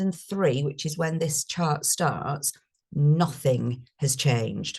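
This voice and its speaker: A woman with a northern English accent speaks in a somewhat breathy voice with lively intonation. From northern England. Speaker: speaker on carers' benefits. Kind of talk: webinar presentation. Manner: animated.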